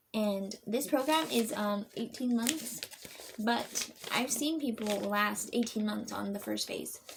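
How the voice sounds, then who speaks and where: Very slowly, with ordinary pitch variation, a woman talks over noticeable background noise. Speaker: vlogger sharing recovery program experience. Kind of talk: casual vlog talk to camera. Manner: halting, many fillers.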